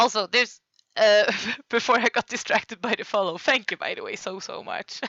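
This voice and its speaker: A woman with a Swedish accent, fairly quick pace and big swings in loudness. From Sweden. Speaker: streamer. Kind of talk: casual livestream commentary. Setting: live stream.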